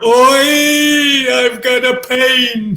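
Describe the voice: Someone is doing a put-on character voice. The pitch sits fairly high.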